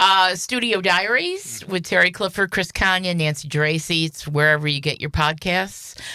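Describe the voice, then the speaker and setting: A loud woman's voice, fairly low in pitch, bright and sharp in tone, at a moderate pace with ordinary pitch variation and hardly any pauses. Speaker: radio host. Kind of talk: casual chat.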